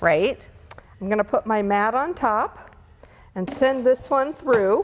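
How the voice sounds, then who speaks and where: With a high pitch and lively intonation, a woman speaks. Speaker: product demonstrator. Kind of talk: tutorial. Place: studio. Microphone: lapel.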